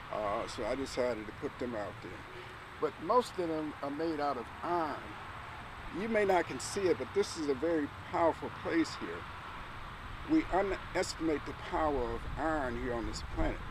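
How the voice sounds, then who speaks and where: With lively intonation and a fairly high pitch, a man talks at a moderate pace, leaving long, frequent pauses over noticeable background noise. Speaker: artist and museum founder giving a tour. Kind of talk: walking tour talk. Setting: outdoors. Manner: soft-spoken.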